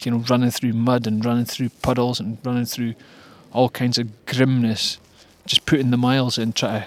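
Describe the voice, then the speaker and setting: In a very clean recording with a silent background, a man with a Scottish accent talks at a moderate pace in a medium-pitched, monotone, flat delivery. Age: 40s. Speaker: amateur runner, video diarist. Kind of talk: personal video diary. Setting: at home after a run. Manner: halting, many fillers.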